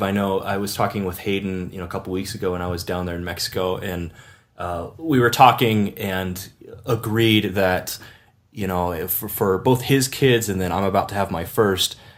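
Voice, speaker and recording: Pitch varies in an ordinary way as an ordinary speaking voice proceeds at a moderate pace. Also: man. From Washington State, US. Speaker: podcast host. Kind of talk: casual chat.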